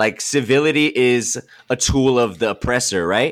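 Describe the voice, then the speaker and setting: A man with a Californian accent speaks at a medium pitch in a very clean recording with a silent background. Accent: Californian American English. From Los Angeles, San Fernando Valley. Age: 20s. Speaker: music producer and student. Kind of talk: casual chat.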